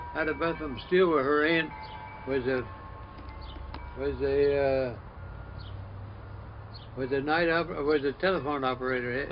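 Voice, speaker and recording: A fairly high-pitched man at a moderate pace, with fairly even intonation and long, frequent pauses, over noticeable background noise. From Summerdale, Pennsylvania. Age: 80s+. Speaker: retired trapper and gunsmith. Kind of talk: casual conversation about old times.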